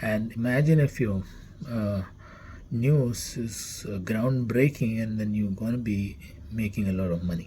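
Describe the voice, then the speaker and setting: A man's fairly low, somewhat breathy voice with a Keralan accent, ordinary pitch variation and a fairly slow pace. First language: Malayalam. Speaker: company CEO. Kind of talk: company introduction talk. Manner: halting, many fillers.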